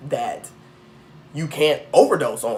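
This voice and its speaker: A man keeps a moderate pace as noticeable background noise carries on. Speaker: tarot reader. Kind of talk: casual monologue. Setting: indoors with incense burning. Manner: long-winded, looping.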